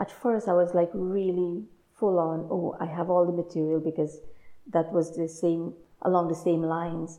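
Delivered at a medium tempo, the voice stays monotone and flat throughout. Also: woman, fairly low pitch for a woman. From Guyana. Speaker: artist. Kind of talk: casual interview. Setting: small art gallery.

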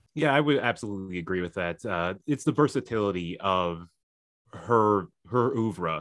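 In a very clean recording with a silent background, a man with an unremarkable speaking voice talks at a fairly low pitch with lively intonation. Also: moderate pace. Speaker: guest co-host. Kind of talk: casual chat.

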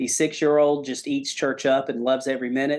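Against a quiet background, a man with an ordinary speaking voice talks at a moderate pace and a fairly high pitch. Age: 40s. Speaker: pastor. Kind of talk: testimony.

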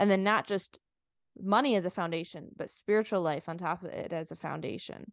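A woman of medium pitch speaks at a fairly quick pace with ordinary pitch variation. The sound is dry and close with no echo, over a quiet background. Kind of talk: casual interview chat.

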